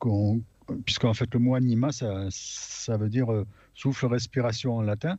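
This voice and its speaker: Against a quiet background, a man with a medium pitch and a dark, mellow tone speaks at a fairly slow pace with fairly even intonation. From France, Aveyron. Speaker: radio panelist. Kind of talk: casual chat.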